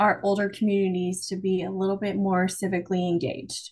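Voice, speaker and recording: This woman talks at a moderate pace. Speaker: podcast co-host. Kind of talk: casual interview chat.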